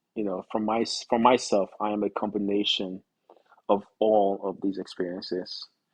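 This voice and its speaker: In a dry, close recording with no echo, a man speaks at a moderate pace in a fairly low pitch with monotone, flat intonation. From Nigeria. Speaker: actor and podcast guest. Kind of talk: casual interview chat.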